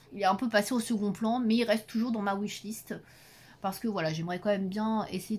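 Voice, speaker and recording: A woman talks at a fairly quick pace, somewhat breathy, with fairly even intonation. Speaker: YouTuber reviewing adult coloring books. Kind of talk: casual vlog talk to camera. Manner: fast.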